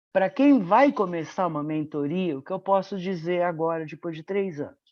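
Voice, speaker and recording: A woman speaks in a normal speaking voice, pitched fairly low. Her pace is fairly slow. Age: 60s. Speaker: medical professor and mentor. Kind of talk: webinar testimony.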